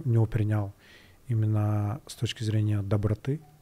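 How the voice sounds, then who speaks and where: This man's voice is somewhat breathy, fairly low in pitch, and dark and mellow in tone. The recording is very clean, with a silent background. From Kyrgyzstan, Bishkek. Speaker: tech startup founder. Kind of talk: interview.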